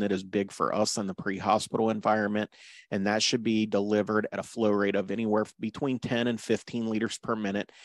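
A man speaks at a moderate pace with a fairly low pitch in a normal speaking voice. The sound is dry with no echo, and the background is quiet. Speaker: paramedic course instructor. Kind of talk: lecture. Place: home room.

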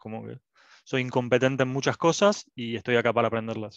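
Recorded dry with no echo against a quiet background, a man speaks. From Argentina. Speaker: student. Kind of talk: self-introduction. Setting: video call. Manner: halting. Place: home room. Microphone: headset.

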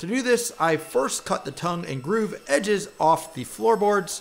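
A man's high-pitched voice with vocal fry, lively intonation and a fairly slow pace.

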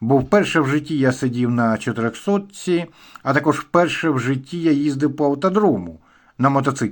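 A man with a fairly high pitch and lively intonation, at a moderate pace and very even loudness, in a very clean recording with a silent background. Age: 60s. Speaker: motorcycle vlogger. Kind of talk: casual vlog monologue.

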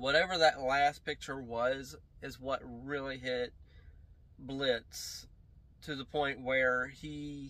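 Very slowly, a man speaks in a monotone, flat intonation with a bright, sharp tone. The sound is dry, with no echo. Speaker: reaction video host. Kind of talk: casual reaction commentary. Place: home room.

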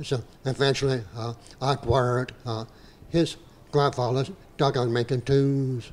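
With a Southern Louisiana accent, a man speaks fairly slowly at a medium pitch, his intonation fairly even and his pauses long and frequent. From southeast Louisiana. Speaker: dugout builder. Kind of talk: panel talk. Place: hall. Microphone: handheld.

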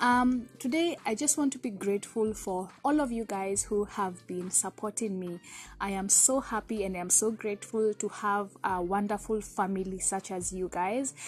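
Faint music plays behind a woman who talks at a moderate pace with hardly any pauses. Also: ordinary pitch variation. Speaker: vlogger. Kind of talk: casual vlog chat. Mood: cheerful, grateful. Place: garden. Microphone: phone near.

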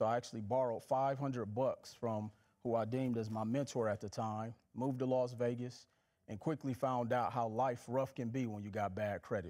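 The voice has a dark, mellow tone and an American accent, moving at a fairly quick pace. Intonation stays fairly even against a quiet background. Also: man. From Milwaukee, Wisconsin and Mississippi. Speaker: financial educator and author; financial educator. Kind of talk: casual interview. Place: studio.

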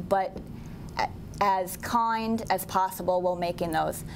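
A woman talks with a Midwestern accent and fairly even intonation. Light background noise sits behind her. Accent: general Midwestern American. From US Midwest. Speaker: college teacher, school board candidate. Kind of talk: candidate forum statement. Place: meeting room.

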